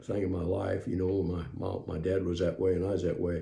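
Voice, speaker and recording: A man with a very deep, low, dark and mellow voice full of vocal fry talks at a fairly quick pace, with audible room echo. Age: 70s. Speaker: preacher. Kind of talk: testimony. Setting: home recording room. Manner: halting, many fillers.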